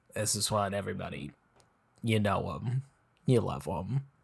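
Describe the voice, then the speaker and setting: Speaking fairly slowly with lively intonation, a man with an American accent shows vocal fry. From United States. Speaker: comedic actor in web series. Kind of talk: casual comedic chat. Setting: remote recording in a hot room. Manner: low-energy, subdued on mic.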